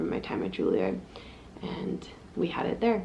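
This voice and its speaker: Audible room echo surrounds a soft-spoken woman. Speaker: flute player and vlogger. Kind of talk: vlog.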